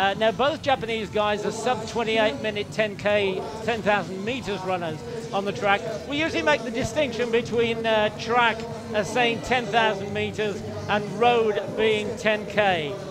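Noticeable background noise sits under speech at a fairly slow pace. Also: man. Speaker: race commentator. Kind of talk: commentary.

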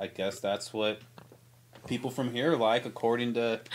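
A man with an American accent, monotone and flat in intonation, at a moderate pace. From St. Charles, Missouri, US Midwest; Missouri. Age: 30s. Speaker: artist and photographer; podcast guest. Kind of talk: casual chat. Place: studio. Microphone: studio mic.

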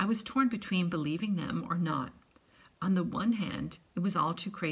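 With normal pitch movement, the reading voice sounds unforced.

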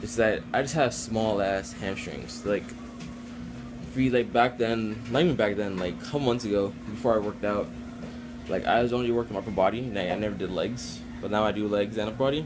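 A man talks at a fairly quick pace in a fairly low pitch with ordinary pitch variation. Music plays in the background. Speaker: vlogger. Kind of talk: casual vlog chat. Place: kitchen. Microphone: phone near.

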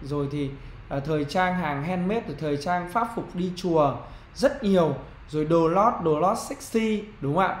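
Amid audible room echo and light background noise, a man speaks fairly slowly in a high voice with lively intonation. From Vietnam. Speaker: marketing trainer. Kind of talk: online business tutorial. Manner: conversational, frequent fillers. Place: home room. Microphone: webcam.

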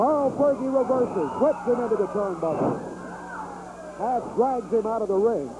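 Over noticeable background noise, a man with an extremely high pitch speaks at a moderate pace, with lively intonation and long, frequent pauses. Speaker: wrestling commentator. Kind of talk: 1980s wrestling commentary, live play-by-play.

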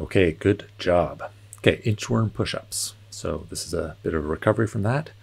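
Lively intonation carries a somewhat breathy voice. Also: man, fairly low pitch for a man, moderate pace. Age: 40s. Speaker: fitness instructor. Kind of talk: guided home workout. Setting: home workout video. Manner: calm, encouraging, steady; clear cue-giving, countdowns. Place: hall.

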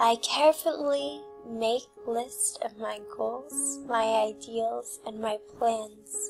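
A woman's fairly high voice at a very slow pace, calm and soothing in tone, with faint music in the background. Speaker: hypnotist. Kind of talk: hypnosis script for sleep and abundance. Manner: calm, slow, soothing. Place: home room.

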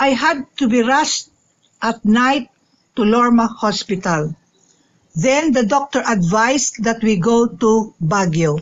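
At a slow pace, a woman speaks with lively intonation and a fairly high pitch.

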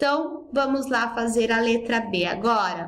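The speaker is a woman. Her pitch is high. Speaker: school English teacher. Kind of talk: recorded lesson for pupils. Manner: didactic, explanatory.

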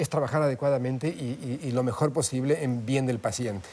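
A man with a dark, mellow tone at a fairly quick pace. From Andean South America (Peru, Bolivia, Ecuador), Argentine parents. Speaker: pathologist and medical professor; medical professor. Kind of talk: interview. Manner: many filler hesitations (eh). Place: studio. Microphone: lapel.

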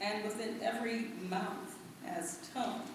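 Very slow speech comes through strong room echo and noticeable background noise. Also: woman. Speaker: reader at a lecture. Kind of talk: reading a text aloud. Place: hall.

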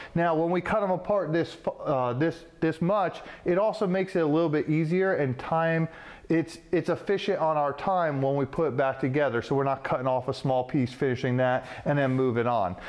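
A man speaks at a moderate pace with ordinary pitch variation and very even loudness. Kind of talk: tutorial. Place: workshop.

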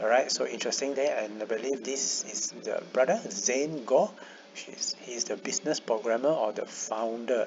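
Noticeable background noise behind a man's moderate-paced speech. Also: medium pitch for a man, ordinary pitch variation. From Malaysia. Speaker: YouTuber. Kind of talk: tutorial.

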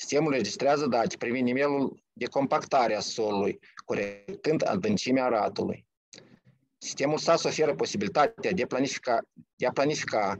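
A man talks at a moderate pace with lively intonation, and the sound is dry with no echo over a quiet background. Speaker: technical department director, company presenter; presenter. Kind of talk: company pitch. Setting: video call.

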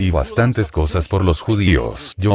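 A man's very deep, low voice with vocal fry in an intense, dramatic tone, lively intonation at a fairly slow pace, a dry sound with no echo and light background noise. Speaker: preacher. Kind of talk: fiery sermon with testimony, confronting the congregation. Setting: church, live preaching. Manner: intense, forceful, dramatic, animated storytelling. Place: church. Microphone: handheld.

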